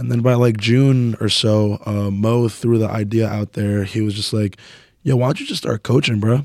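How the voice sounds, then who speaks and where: With an American accent, a man speaks at a moderate pace in a medium pitch, his intonation monotone and flat. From New Jersey, Woodbridge. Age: 20s. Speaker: powerlifter and coach. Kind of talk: casual chat.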